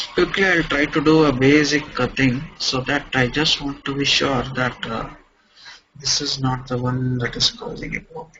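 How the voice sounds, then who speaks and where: A man with an ordinary speaking voice, a fairly high pitch, ordinary pitch variation and a moderate pace. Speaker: software trainer. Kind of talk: tutorial.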